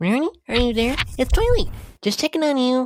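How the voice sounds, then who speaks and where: Putting on a character voice, a woman speaks in a high pitch at a fairly quick pace. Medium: fan dub. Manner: earnest, caring.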